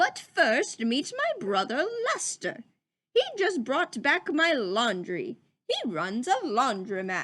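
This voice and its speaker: A woman puts on a high-pitched character voice with very wide pitch swings. She speaks at a fairly slow pace. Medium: read story. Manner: courteous, warm.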